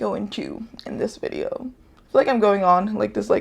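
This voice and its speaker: The speaker talks at a fairly quick pace with an American accent and vocal fry. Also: woman. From United States. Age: 20s. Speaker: YouTuber. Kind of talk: casual vlog talk. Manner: halting, many false starts.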